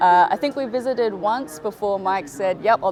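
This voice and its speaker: A woman's medium-pitched voice comes at a moderate pace, with noticeable background noise around it. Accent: Australian. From Australia, northern beaches of Sydney. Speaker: sales and marketing director at a wave pool. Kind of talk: casual interview. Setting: on location at a wave pool venue.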